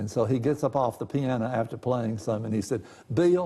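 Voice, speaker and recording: A man speaks with a Tennessee accent. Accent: Southern US (Tennessee). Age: 70s. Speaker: local historian. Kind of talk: casual interview.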